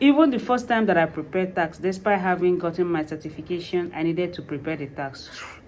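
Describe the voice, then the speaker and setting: Over noticeable background noise, a woman talks at a very fast pace with ordinary pitch variation. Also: fairly low pitch for a woman, hardly any pauses. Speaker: vlogger, tax preparer. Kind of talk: personal vlog, motivational talk. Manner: animated.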